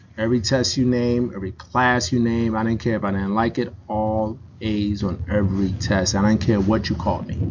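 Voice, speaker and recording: A man with an American accent speaks at a moderate pace and a fairly low pitch. He has hardly any pauses, and noticeable background noise is present. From Newark, New Jersey. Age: 40s. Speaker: emergency doctor and author. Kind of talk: motivational talk. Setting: campus event with audience, streamed. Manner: animated.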